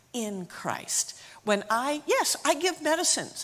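Very wide pitch swings run through a woman's speech in an American accent, captured in a very clean recording with a silent background. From US, Appalachia (northeast Tennessee area). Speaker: missionary physician assistant. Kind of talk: testimony.

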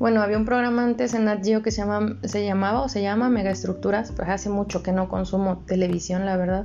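Using a normal speaking voice, a woman talks at a fairly quick pace in a medium pitch, her intonation fairly even and her loudness very even. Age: 20s. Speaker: podcast co-host. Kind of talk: casual chat.

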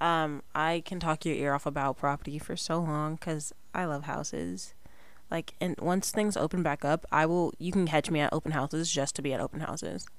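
A woman with an American accent speaks at a moderate pace with a very deep, low pitch and fairly even intonation. The recording is very clean, with a silent background. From Southern California. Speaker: podcast host. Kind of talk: casual solo monologue. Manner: rambling, jumps around.

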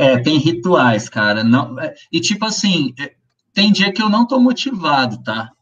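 The pitch swings very widely, and the pace is fairly slow. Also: man, fairly high pitch for a man. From interior of São Paulo state, Brazil (Ribeirão Preto). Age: 40s. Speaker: musician, guitarist. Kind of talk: casual interview chat.

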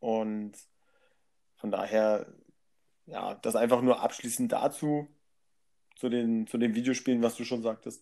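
Long, frequent pauses break up a man's fairly slow speech. His tone is dark and mellow, his intonation monotone and flat. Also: medium pitch for a man. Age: 30s. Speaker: podcast guest. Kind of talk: casual chat.

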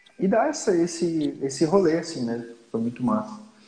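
A man speaks with lively intonation. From Santa Catarina, Brazil (Lages). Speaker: podcast host. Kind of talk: casual chat. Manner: halting.

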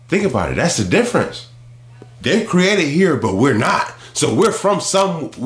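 Over noticeable background noise and audible room echo, a high-pitched man talks at a moderate pace with very wide pitch swings and very even loudness. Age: 30s. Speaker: podcast co-host. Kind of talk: casual chat.

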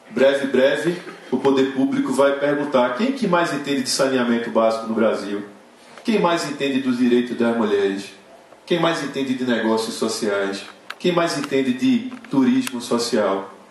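Over noticeable background noise and audible room echo, a man talks at a moderate pace with medium pitch, ordinary pitch variation and very even loudness. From Recife, Brazil. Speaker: social entrepreneur. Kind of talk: inspirational stage talk.

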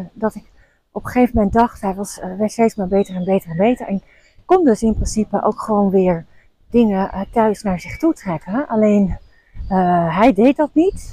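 This woman's voice has a dark, mellow tone and a fairly high pitch, moving at a moderate pace with ordinary pitch variation. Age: 40s. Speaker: podcast host and coach for female leaders. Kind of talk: casual monologue.

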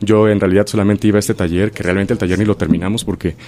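A man talks very fast at a fairly low pitch. Background noise is noticeable. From Mexico, Chilpancingo, Guerrero. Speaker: stage actor. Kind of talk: radio interview.

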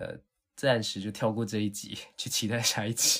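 A man's normal speaking voice, fairly low in pitch and fairly slow in pace. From southern Taiwan. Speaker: podcast host, language teacher. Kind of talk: casual chat.

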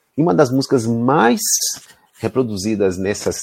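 The recording is dry and close with no echo, carrying a man's dark, mellow tone. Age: 40s. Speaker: university professor. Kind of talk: interview.

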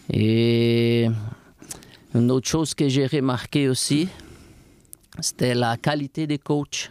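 Speaking very slowly with long, frequent pauses, a man with a Brazilian accent keeps his loudness very even. His medium pitch has fairly even intonation, in a dry, close sound with no echo. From Brazil, warm coastal region. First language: Portuguese (speaking French). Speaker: fitness coach. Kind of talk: interview.

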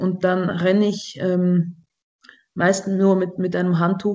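A woman talks very slowly at a medium pitch, her dark, mellow tone held in a monotone, flat intonation. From Switzerland. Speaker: satirist and cabaret artist. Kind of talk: casual comedic chat.

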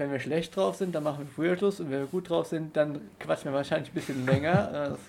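A man talks with a fairly high pitch and lively intonation. It is an ordinary speaking voice. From Rhineland-Palatinate, near Koblenz. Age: 20s. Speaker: student podcast co-host. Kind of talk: casual sports chat. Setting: studio room in Passau old town.

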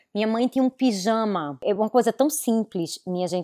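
With lively intonation, a normal speaking voice comes through a dry, close sound with no echo. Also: woman. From Recife, northeastern Brazil. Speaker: fashion business consultant. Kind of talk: casual interview. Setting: video call.

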